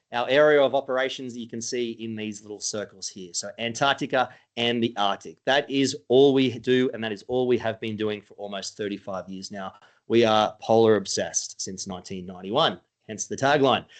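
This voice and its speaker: An Australian-accented man's medium-pitched voice at a fairly quick pace, with ordinary pitch variation, big swings in loudness and a quiet background. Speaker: cruise company sales director. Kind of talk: webinar sales presentation. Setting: online webinar. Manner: casual, hesitant with fillers.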